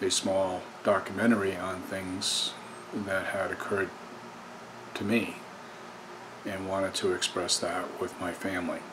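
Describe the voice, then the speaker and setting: With noticeable background noise behind him, a man with a very deep, low pitch speaks at a fairly slow pace in a monotone, flat intonation, leaving long, frequent pauses. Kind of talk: personal documentary talk to camera. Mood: earnest, somber. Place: home room. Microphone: webcam.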